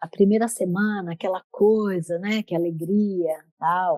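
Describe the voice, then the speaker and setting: A woman's dark, mellow tone at a very slow pace, with ordinary pitch variation and a dry, close sound with no echo. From Brazil, São Paulo. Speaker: menopause and yoga coach. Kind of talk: podcast interview.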